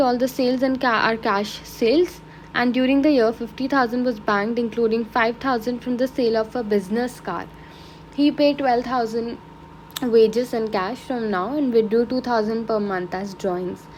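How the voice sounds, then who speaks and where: Noticeable background noise runs under a woman's voice. She speaks at a moderate pace with a high pitch and ordinary pitch variation. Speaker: accounting tutor. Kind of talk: tutorial.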